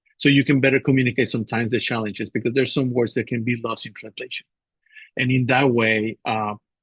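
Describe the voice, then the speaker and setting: A man speaks at a very fast pace in a monotone, flat intonation. His voice is somewhat breathy. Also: medium pitch for a man. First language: not English. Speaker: assistant professor. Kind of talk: webinar panel talk.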